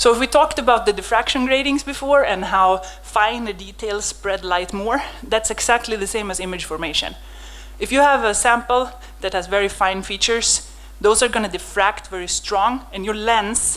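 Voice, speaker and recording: With noticeable background noise behind her, a woman's medium-pitched voice shows ordinary pitch variation. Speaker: microscopy researcher, lab head. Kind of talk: conference lecture. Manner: fast; animated.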